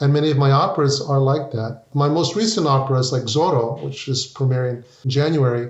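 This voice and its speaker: Noticeable background noise runs under the speech, which has an American accent. The pace is moderate and the pitch varies in an ordinary way. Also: man. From US, Mexican American family. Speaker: opera composer. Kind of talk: interview conversation.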